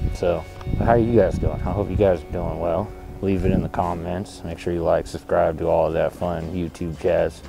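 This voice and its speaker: Clear music plays in the background while a man speaks. The sound is dry, with no echo. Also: moderate pace. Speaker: vlogger testing a mic. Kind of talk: casual vlog chat. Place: waterside. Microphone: lapel.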